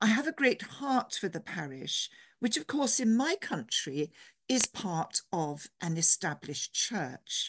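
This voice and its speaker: Speaking with an English accent, a woman uses very wide pitch swings and vocal fry at a fairly slow pace, in a dry, close sound with no echo and a quiet background. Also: fairly high pitch for a woman. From England. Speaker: theology professor and priest. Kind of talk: lecture.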